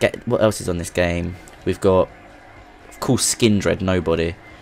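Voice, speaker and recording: Fairly even intonation at a fairly quick pace, with music in the background. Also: man. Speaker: gaming YouTuber. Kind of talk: gameplay commentary. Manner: casual, hesitant with fillers.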